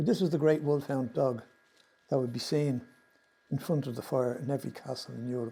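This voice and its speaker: A man with an Irish accent, medium pitch and a dark, mellow tone, at a fairly quick pace broken by long, frequent pauses. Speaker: presenter on Irish mythology. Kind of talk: slide presentation talk. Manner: fast.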